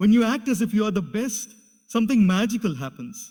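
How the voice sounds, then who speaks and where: A man speaks at a moderate pace with a high pitch. His pitch rises and falls in an ordinary way. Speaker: motivational speaker. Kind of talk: motivational speech.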